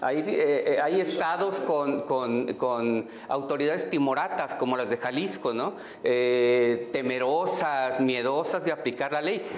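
A man's fairly high voice at a very slow pace, with hardly any pauses, ordinary pitch variation and very even loudness, amid light background noise and audible room echo. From Mexico. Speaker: historian and LGBT activist. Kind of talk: heated debate. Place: studio. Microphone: lapel.

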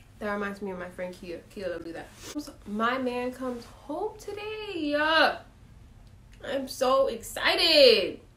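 A woman with an American accent, high-pitched, at a fairly slow pace, with very wide pitch swings, big swings in loudness and audible room echo. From Miami-Dade County, Florida; Florida. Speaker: vlogger. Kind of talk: casual vlog. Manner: animated. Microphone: phone near.

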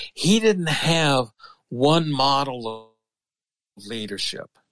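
The man's medium-pitched voice comes across dry and close, with no echo. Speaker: business school professor and philosopher. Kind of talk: interview conversation.

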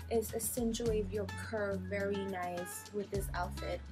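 Clear music plays in the background while a woman talks. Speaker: fashion vlogger. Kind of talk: casual vlog chat, try-on haul. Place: home room. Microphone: phone near.

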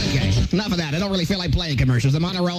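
A man talking at a very fast pace over clear background music. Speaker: radio DJ. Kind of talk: live radio show patter, comedic rant. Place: booth. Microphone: old recording.

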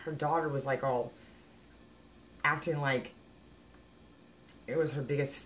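Against light background noise, a woman speaks with a very deep, low pitch. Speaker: psychic medium vlogger. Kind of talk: casual vlog chat, opinion rant. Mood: exasperated, critical. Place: home room.

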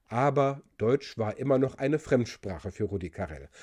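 Dark and mellow in tone, a man's voice carries vocal fry and lively intonation at a moderate pace. The background is quiet. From Germany. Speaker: linguist and video presenter; presenter. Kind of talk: explainer video. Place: home room. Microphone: studio mic.

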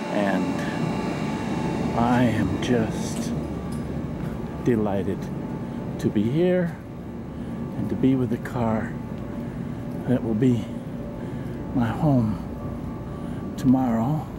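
A man speaks at a very slow pace with ordinary pitch variation, leaving long, frequent pauses over clear background noise. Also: medium pitch for a man.

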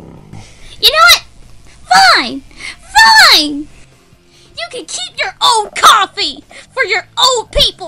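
A put-on character voice speaks at an extremely high pitch and a very slow pace, with long, frequent pauses. Music plays in the background. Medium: dub. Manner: whiny, pleading.

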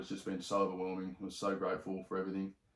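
There is audible room echo around this man's voice. He speaks in an Australian accent with a very deep, low pitch. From Sydney, Australia. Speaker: podcast host. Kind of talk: casual chat. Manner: animated. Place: home room.

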